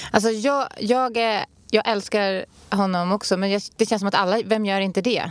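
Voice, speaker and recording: A woman speaks in an ordinary speaking voice at medium pitch and a moderate pace, with fairly even intonation. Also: very clean recording, silent background. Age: 30s. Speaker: podcast co-host. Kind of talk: casual chat.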